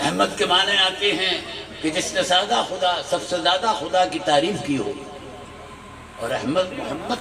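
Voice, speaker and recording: Over noticeable background noise and audible room echo, a man talks at a high pitch with very wide pitch swings. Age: 70s. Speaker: Islamic preacher. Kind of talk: religious speech at gathering. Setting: stage with audience. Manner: standing while speaking.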